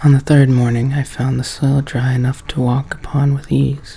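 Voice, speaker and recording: The voice is soft-spoken, at a moderate pace. Background noise is noticeable. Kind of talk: horror story reading aloud from a book.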